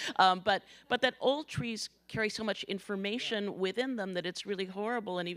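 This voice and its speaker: A woman with an ordinary speaking voice talks at a moderate pace with ordinary pitch variation. The recording is very clean, with a silent background. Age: 60s. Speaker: interviewer. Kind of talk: onstage conversation.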